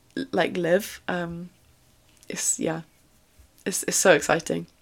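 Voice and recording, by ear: A woman speaks at a slow pace with vocal fry.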